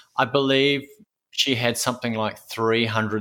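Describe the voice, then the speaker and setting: In an Australian accent, a bright, sharp tone carries fairly even intonation on a very clean recording with a silent background. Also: man. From Queensland, Australia. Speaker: audio storyteller and oral historian. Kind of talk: interview conversation.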